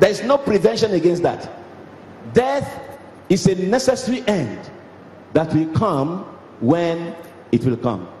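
A man speaks at a fairly slow pace, his pitch swinging very widely. Long, frequent pauses break up his speech, with light background noise and audible room echo. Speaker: cleric preaching. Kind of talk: sermon. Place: church. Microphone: handheld.

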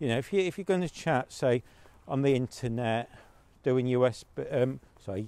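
A man is heard in a dry recording with no echo. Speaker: podcaster giving advice. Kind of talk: casual walking commentary. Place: street. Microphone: lapel.

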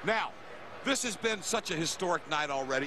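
A man at a fairly quick pace, energetic in tone, with a dry sound with no echo and loud background noise. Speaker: TV play-by-play commentator. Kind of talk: live TV sports commentary, hyped play-by-play. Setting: broadcast booth in a packed stadium. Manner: energetic, hype-building showman; punchy promotional delivery, repeating network plugs.

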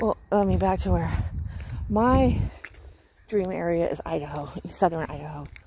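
A woman with an American accent speaks with long, frequent pauses. Noticeable background noise sits under a dry sound with no echo. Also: moderate pace. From Western Washington, US. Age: 40s. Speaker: craft vlogger. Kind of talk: casual vlog chat. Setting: outdoors walking. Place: street. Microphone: phone near.

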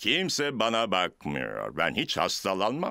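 At a fairly slow pace, a man in a cartoonish character voice uses a low pitch with vocal fry, a bright, sharp tone and very wide pitch swings.

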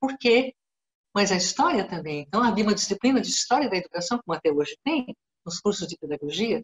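Her pitch swings very widely. The woman speaks at a fairly quick pace. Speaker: guest. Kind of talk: lecture-style talk in a webinar. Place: home room. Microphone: video call.

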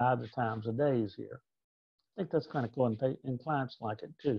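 A man of medium pitch with ordinary pitch variation against a quiet background. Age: 60s. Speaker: reimbursement consultant. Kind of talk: educational presentation. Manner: casual. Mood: relaxed, conversational. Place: home room. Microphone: webcam.

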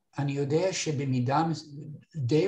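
The voice is dark and mellow, somewhat breathy and fairly even in intonation, moving at a fairly slow pace against a quiet background. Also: man. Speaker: retired instructor filling in to teach course software. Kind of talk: online training workshop. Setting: video call. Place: office. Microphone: webcam.

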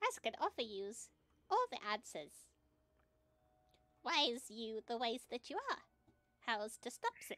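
In a put-on character voice, a female-sounding speaker with a high pitch for a woman moves at a moderate pace, leaving long, frequent pauses. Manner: eager, fussy, speaks of self in third person.

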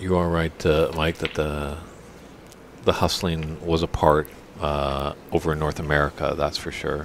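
A man with a slight Canadian accent speaks in a very deep, low voice at a fairly slow pace. His intonation is monotone and flat, with long, frequent pauses amid noticeable background noise. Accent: slight Canadian twang. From Canada. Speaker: snooker commentator. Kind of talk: live commentary. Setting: commentary booth at snooker tournament.

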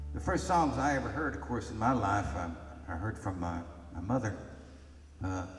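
A man speaks at a fairly quick pace, with light background noise and audible room echo in the recording. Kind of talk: storytelling between songs. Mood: relaxed, reminiscing. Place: stage. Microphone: camera far.

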